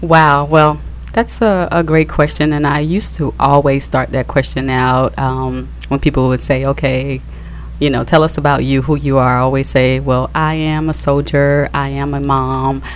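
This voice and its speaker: Her speech moves at a moderate pace. There's noticeable noise behind her. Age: 30s. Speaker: podcast co-host, wife. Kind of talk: casual radio interview.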